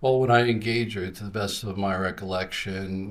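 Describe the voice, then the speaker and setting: A man with a very deep, low voice sounds somewhat breathy, his intonation fairly even, in audible room echo. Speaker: police officer witness. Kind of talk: witness testimony. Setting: courtroom. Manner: halting.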